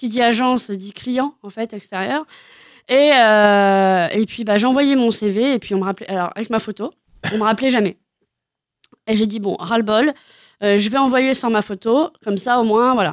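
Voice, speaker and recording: Pausing long and often, a woman talks at a moderate pace and a fairly high pitch with ordinary pitch variation. The recording is very clean, dry and close, with a silent background and no echo. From Normandy, France. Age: 30s. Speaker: comedian. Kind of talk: interview. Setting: radio studio.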